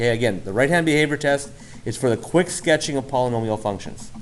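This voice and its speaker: A man with a normal speaking voice talks at a fairly quick pace, his medium pitch showing ordinary variation. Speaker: math teacher. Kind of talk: lecture.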